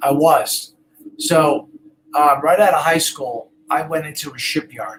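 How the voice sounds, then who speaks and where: A man talks at a fairly slow pace with long, frequent pauses. His pitch is fairly high and his intonation fairly even. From Brooklyn, New York. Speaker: real estate agent. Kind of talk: casual interview chat.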